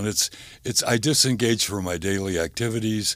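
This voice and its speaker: A man's plain, everyday voice, fairly low in pitch, at a moderate pace. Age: 60s. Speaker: gambling addiction counselor. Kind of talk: interview.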